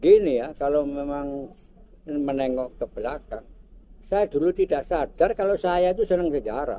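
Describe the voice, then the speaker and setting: A man's fairly high-pitched, dark, mellow voice at a moderate pace, with ordinary pitch variation. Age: 70s. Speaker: local historian and cultural figure. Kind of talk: interview. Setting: vintage cafe.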